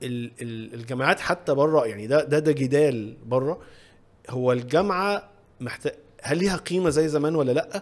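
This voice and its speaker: A man's fairly high voice carries lively intonation at a moderate speed. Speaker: podcast host. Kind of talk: casual interview. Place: studio. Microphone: studio mic.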